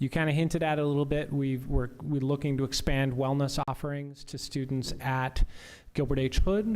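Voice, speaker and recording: On a very clean recording with a silent background, a man speaks in a fairly high pitch. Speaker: school administrator. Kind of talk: school board meeting report. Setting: public meeting. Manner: fast.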